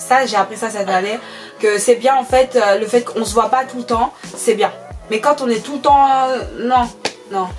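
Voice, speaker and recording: Music plays in the background as a woman with a fairly high pitch speaks at a moderate pace. Her intonation is fairly even, broken by long, frequent pauses. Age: 20s. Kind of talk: casual talk to camera.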